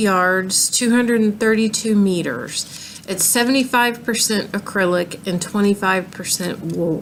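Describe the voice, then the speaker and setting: A woman with a Southern US accent speaks at a fairly high pitch with ordinary pitch variation, against noticeable background noise. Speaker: crochet vlogger. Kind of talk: casual show-and-tell tutorial. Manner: halting, many ums.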